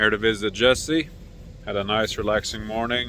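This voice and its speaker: A man speaks at a fairly slow pace in a dry sound with no echo over light background noise. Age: 20s. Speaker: travel vlogger. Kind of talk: casual vlog narration. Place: open country. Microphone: phone near.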